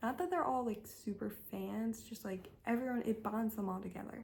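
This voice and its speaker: There is noticeable background noise as a woman talks at a fairly high pitch, her pitch varying in an ordinary way. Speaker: book youtuber. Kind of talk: casual chat.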